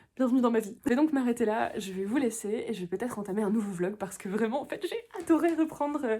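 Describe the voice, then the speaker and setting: Lively in intonation and dark, mellow in tone, a woman speaks at a very fast pace with hardly any pauses. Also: fairly high pitch for a woman. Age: 20s. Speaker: book vlogger. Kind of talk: casual vlog talk to camera. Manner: halting, many fillers and repetitions.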